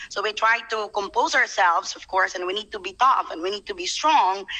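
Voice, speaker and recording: A woman's fairly high voice with a bright, sharp tone, against a quiet background. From Philippines, Bohol (Tagbilaran); Philippines. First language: Cebuano (Bisaya) (speaking Tagalog). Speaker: overseas Filipino worker. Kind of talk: live online interview. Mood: earnest, recounting hardship. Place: home room. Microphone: video call.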